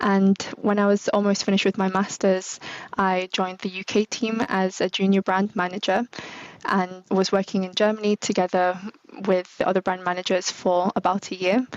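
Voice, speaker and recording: A woman with a British accent at a moderate pace, monotone and flat, in a dry, close sound with no echo. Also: medium pitch for a woman. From UK. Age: 20s. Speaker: marketing manager. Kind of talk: interview.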